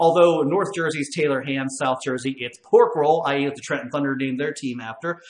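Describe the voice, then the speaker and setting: A man's voice, with room echo clearly audible. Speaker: show host. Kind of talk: casual show chat, reading viewer comments. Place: home room.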